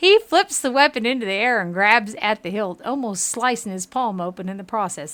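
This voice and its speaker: Delivered at a moderate pace, the speech has lively intonation and a Southern US accent. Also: woman. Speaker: gaming streamer. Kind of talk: live game stream with reading of dialogue aloud. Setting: home kitchen.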